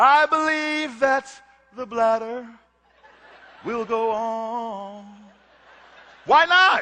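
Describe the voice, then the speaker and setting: A man speaks in a raised, projected voice. His pace is very slow. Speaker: spoken word artist. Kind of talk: spoken word performance.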